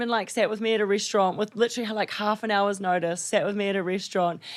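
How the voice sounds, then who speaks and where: A woman talks at a very fast pace with fairly high pitch and an energetic tone. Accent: New Zealand. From New Zealand. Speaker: reality TV star and yacht chief stewardess. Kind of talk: podcast interview answer. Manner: energetic, humorous.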